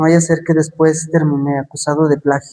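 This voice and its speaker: Dark, mellow tone from a man pitched fairly high. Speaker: preacher. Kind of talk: sermon.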